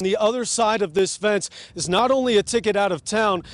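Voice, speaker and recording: A man with an American accent speaks at a fairly quick pace. His pitch is high, with noticeable background noise behind him. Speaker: TV news anchor and reporter. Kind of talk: anchor newsreader delivery.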